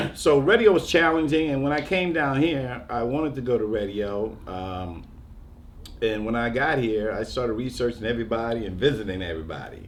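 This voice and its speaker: A man with an American accent, lively intonation, and a fairly quick pace, with audible room echo. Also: medium pitch for a man. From New York. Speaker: radio DJ. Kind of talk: panel discussion. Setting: museum panel.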